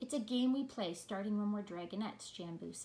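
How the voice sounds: This is a natural reading voice.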